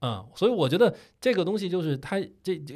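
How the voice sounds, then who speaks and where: Very wide pitch swings mark this somewhat breathy voice at a moderate pace. The recording is very clean with a silent background. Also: man. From Beijing. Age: 30s. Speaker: podcast co-host, video creator. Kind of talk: casual chat.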